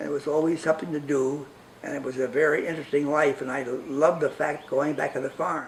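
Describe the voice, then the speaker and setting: Speaking at a fairly quick pace with a New York accent, a man keeps fairly even intonation against noticeable background noise. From New York (Brooklyn). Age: 90s. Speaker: interviewee, humanist group member. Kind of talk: personal life story interview.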